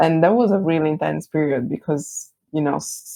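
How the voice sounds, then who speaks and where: This woman speaks with an Italian accent. Her pitch is very deep and low. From Italy. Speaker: branding agency founder. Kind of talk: podcast interview.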